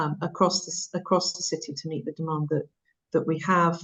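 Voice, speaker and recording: Somewhat breathy, the voice holds a monotone, flat intonation. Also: woman. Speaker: council officer presenting at schools forum. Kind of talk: formal meeting presentation. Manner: fast; halting, many fillers.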